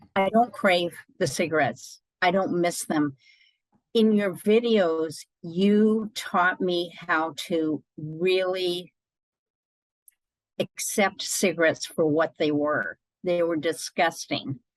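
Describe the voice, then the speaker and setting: Very slowly and at very even loudness, a woman with an American accent speaks in a fairly low pitch with ordinary pitch variation, the sound dry and close with no echo. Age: 60s. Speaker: ex-smoker interviewee. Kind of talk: interview testimony.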